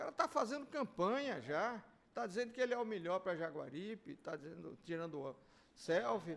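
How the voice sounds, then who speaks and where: At a moderate pace, a man with a high-pitched voice speaks using very wide pitch swings. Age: 70s. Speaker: mayor. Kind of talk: interview.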